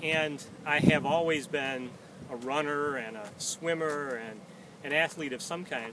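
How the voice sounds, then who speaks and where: A man's fairly high voice with an American accent and ordinary pitch variation, over noticeable background noise. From United States. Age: 60s. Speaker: peace activist. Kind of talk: personal monologue to camera. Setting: outdoors, walking backward around a track. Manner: occasional hesitations with uh.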